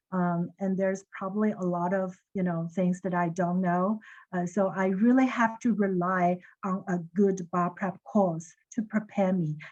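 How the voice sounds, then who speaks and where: Someone with a Chinese accent speaks at a fairly slow pace with fairly even intonation. The background is quiet. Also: woman, medium pitch for a woman. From China. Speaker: lawyer. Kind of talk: webinar panel discussion.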